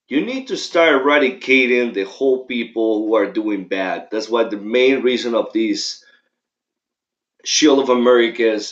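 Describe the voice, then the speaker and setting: A man with a strong Mexican accent speaks at a fairly slow pace. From Mexico. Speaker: political commentator. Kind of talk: livestream commentary. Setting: livestream. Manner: casual, halting.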